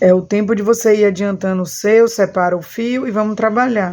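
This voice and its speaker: A woman speaks at a fairly slow pace in a dark, mellow tone. Her intonation stays fairly even. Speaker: crochet teacher. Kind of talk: tutorial. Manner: talkative.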